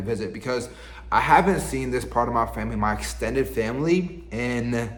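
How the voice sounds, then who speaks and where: Audible room echo colors this recording. In it, a man speaks fairly quickly. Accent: American. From US South, Virginia. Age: 20s. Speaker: lifestyle vlogger. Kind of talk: casual vlog monologue. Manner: casual, halting with repetitions.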